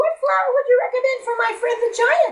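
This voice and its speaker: In a put-on character voice, the speaker sounds squeaky and extremely high-pitched at a fairly quick pace. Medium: read story. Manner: cheerful, earnest.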